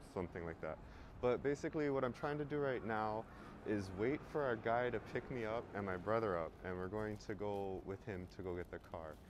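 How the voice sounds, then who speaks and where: With lively intonation and a fairly quick pace, a man speaks in a fairly low pitch, captured dry with no echo amid noticeable background noise. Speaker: travel vlogger. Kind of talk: casual vlog chat. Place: street. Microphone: phone near.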